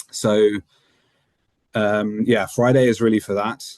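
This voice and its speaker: A man with a British accent speaks at a fairly low pitch. His intonation is fairly even. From UK, moved to Netherlands at eight. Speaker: motorsport race engineer. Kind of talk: interview. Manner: many fillers and repetitions.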